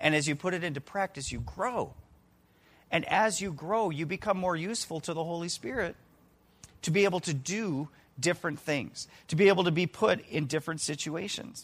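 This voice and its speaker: On a very clean recording with a silent background, a man with a high pitch speaks at a moderate pace with ordinary pitch variation and long, frequent pauses. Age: 40s. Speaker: lay preacher filling in for pastors. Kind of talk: sermon. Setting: church service with congregation. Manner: casual, many fillers and repetitions.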